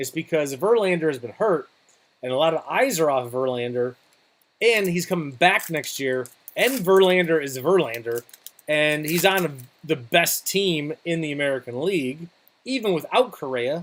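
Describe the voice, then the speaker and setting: The speaker talks at a moderate pace in an animated tone. The intonation is lively. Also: man, fairly high pitch for a man. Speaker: card breaker / live streamer. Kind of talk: live card break commentary. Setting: live stream. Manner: loud, animated.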